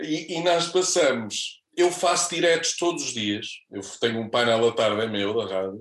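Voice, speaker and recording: Pitch swinging very widely, a man with a fairly high voice talks at a moderate pace with hardly any pauses. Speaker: radio presenter. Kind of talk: casual chat. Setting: studio.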